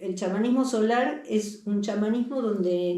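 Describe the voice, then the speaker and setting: There is audible room echo and noticeable background noise. A woman talks with ordinary pitch variation. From Argentina, Buenos Aires. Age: 60s. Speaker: holistic healing center facilitator. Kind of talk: interview.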